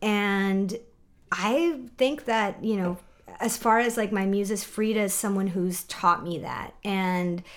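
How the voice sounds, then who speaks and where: A woman talks very slowly. Her voice is medium in pitch, with ordinary pitch variation. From Mexico, San Miguel de Allende. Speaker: graphic designer and product business co-owner. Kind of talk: casual interview chat.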